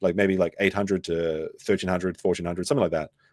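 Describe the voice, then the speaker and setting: With an Australian accent, a man talks at a very fast pace, the sound dry and close with no echo on a very clean recording with a silent background. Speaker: streamer reacting to another streamer. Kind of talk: live stream commentary. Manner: casual, animated.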